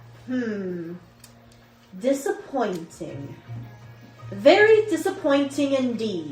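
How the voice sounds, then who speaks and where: Over faint music in the background, a woman puts on a raspy, high-pitched character voice and speaks at a very slow pace. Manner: booming, disappointed.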